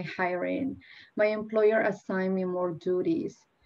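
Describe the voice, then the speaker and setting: Medium-pitched speech from a woman with a Spanish accent, at a moderate pace with fairly even intonation. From Peru. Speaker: nonprofit deputy director, panelist. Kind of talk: personal testimony.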